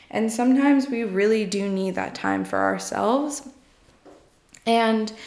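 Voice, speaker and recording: A woman talks at a fairly slow pace, with audible room echo around her. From New York. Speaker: podcast host, psychology graduate. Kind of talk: solo casual monologue. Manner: frequent filler ums, conversational.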